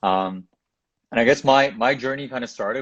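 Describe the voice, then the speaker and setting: Fairly quick and with fairly even intonation, a man speaks in a plain, everyday voice. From Toronto, Canada. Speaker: tech entrepreneur. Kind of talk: interview. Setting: Instagram live video.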